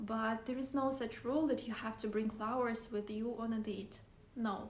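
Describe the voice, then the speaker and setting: A woman with a Russian accent speaks at a moderate pace in a fairly high voice, her intonation fairly even. Room echo is audible. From Siberia, Russia. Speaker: vlogger. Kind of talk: casual vlog talk to camera.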